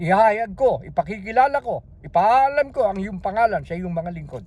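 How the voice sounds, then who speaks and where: An animated-toned man. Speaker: religious video preacher. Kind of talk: sermon. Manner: loud.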